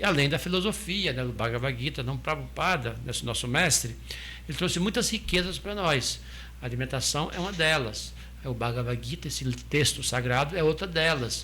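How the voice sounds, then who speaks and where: A man talks at an even, medium tempo, and some room echo is audible. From southern Brazil. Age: 60s. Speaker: restaurant owner and former Hare Krishna monk. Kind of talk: interview, explaining spiritual teachings. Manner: hesitant, many restarts and fillers.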